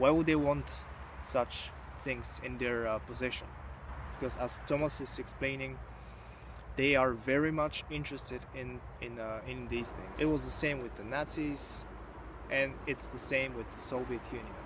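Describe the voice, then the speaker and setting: A man at a moderate pace with long, frequent pauses, amid noticeable background noise and audible room echo. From Bulgaria, rural village. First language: Bulgarian. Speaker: YouTuber, book reviewer. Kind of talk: book review monologue. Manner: halting, many fillers.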